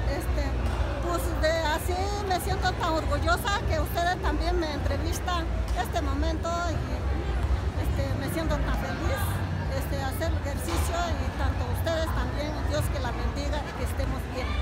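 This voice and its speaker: Amid loud background noise, a woman speaks at a moderate pace with long, frequent pauses, the sound dry with no echo. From Mixteca region, Oaxaca, Mexico. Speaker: weaver, artisan. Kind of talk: interview answer. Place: hall. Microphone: phone near.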